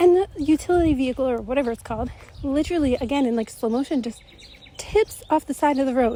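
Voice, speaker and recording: Her voice is high for a woman yet dark and mellow in tone, moving at a fairly quick pace with ordinary pitch variation. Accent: American. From United States. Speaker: spiritual channeler. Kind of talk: storytelling monologue. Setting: outdoors, walking. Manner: casual, filler-heavy.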